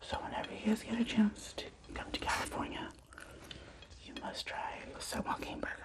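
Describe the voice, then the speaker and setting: Whispering at a fairly quick pace, a woman leaves long, frequent pauses, and her loudness swings widely. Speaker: ASMR eating-show creator. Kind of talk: casual talk to camera. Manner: whispered. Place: home room.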